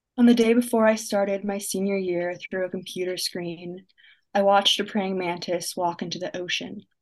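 Here a woman speaks at a moderate pace. Her intonation is monotone and flat. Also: medium pitch for a woman. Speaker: young poet and writer, college student. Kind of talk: spoken word poetry reading. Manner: reflective, measured, dry-humored, poetic cadence.

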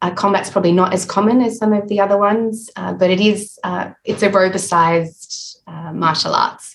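A woman with an Australian accent speaks at a moderate pace and medium pitch, her intonation fairly even and hardly any pauses in her speech. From Adelaide, South Australia. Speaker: health psychology professor. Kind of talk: interview.

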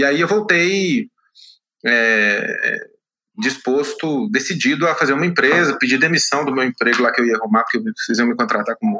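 A man with a Minas Gerais accent talks at a fairly high pitch and a moderate pace. His tone is bright and sharp, his loudness very even, and his pitch swings very widely. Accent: mineiro. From Minas Gerais, Brazil (Belo Horizonte). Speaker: tech entrepreneur. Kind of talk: interview.

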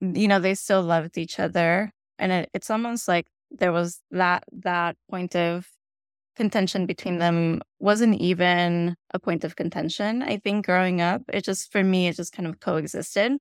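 A woman with a Spanish accent speaks at a moderate pace in a medium pitch, her intonation fairly even. The sound is dry and close with no echo, and the recording is very clean with a silent background. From Bogota, Colombia. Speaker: author, memoirist. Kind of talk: interview, conversational. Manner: reflective, hesitant with fillers.

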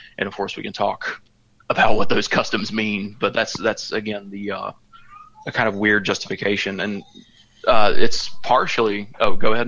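A man speaks with a Southern US accent at a moderate pace. His loudness swings widely. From rural Georgia, US South. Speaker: historian. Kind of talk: casual chat. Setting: remote call from a vacation condo.

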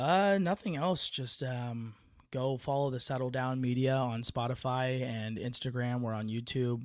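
A man with an American accent speaks at a fairly slow pace in medium pitch, with ordinary pitch variation and an ordinary speaking voice. The recording is very clean, with a silent background. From San Francisco Bay Area, California. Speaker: podcast host, angler.

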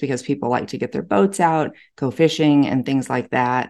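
A very deep, low woman's voice in a Texan accent, dark and mellow in tone, with ordinary pitch variation over a quiet background. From Texas. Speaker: real estate agent. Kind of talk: casual chat.

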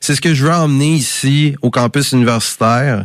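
With a plain, everyday voice, a man of medium pitch talks at a moderate pace with ordinary pitch variation against a quiet background. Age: 30s. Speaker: campus radio host. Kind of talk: radio music show presenting.

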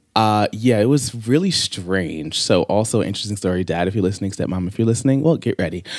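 With an American accent, a man with a fairly low pitch talks very fast. He leaves hardly any pauses. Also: ordinary pitch variation. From Long Island, New York. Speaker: singer. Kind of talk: casual chat. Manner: animated.

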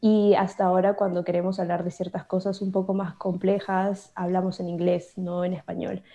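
Against a quiet background, a woman talks with hardly any pauses in a medium-pitched, dark, mellow voice with monotone, flat intonation. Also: moderate pace. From Peru. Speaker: bilingual YouTuber. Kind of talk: interview.

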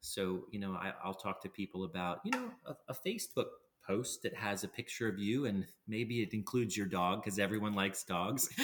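A man with a plain, everyday voice, fairly low in pitch, with ordinary pitch variation and a fairly quick pace. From Pennsylvania. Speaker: transplant physician. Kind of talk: interview.

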